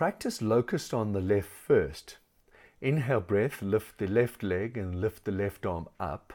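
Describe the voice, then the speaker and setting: A man speaks with a fairly low pitch and a gentle, dark, mellow tone. The recording is very clean, with a silent background. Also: ordinary pitch variation, fairly slow pace. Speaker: yoga instructor. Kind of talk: guided yoga class instruction with meditation. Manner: calm, measured, soothing cueing with pauses; instructive and precise, gentle, with fillers like um.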